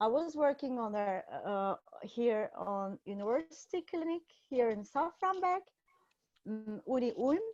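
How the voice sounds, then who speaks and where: In a Turkish accent, a woman speaks at a fairly slow pace with a high pitch, very wide pitch swings and long, frequent pauses. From Turkey, Istanbul. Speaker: psychiatrist. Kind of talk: conference presentation. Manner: halting, many fillers.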